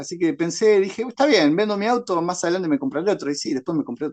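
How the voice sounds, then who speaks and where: Here a man talks with lively intonation. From Paraguay. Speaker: horror writer and secondary school teacher. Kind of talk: interview answer.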